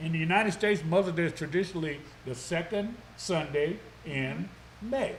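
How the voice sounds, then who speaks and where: Audible room echo surrounds a loud man whose high voice carries ordinary pitch variation. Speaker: local TV morning show host. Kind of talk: live talk show interview.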